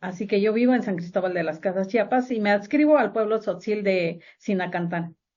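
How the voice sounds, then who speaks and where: A woman's medium-pitched voice at a moderate pace, with ordinary pitch variation and hardly any pauses. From Mexico, Valle del Mezquital, Hidalgo. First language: Otomi (Hñahñu) (speaking Spanish). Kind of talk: interview.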